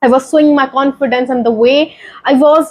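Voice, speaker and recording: With an Indian accent, a woman speaks at a moderate pace in a high pitch, her intonation fairly even. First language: Hindi. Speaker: YouTuber sharing English-learning story. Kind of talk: motivational vlog talk. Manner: halting.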